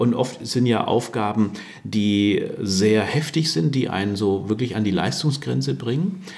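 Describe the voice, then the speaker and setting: Amid noticeable background noise and audible room echo, a man with a fairly low pitch talks at a fairly slow pace with very wide pitch swings and very even loudness. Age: 60s. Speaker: workplace health consultant. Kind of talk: interview.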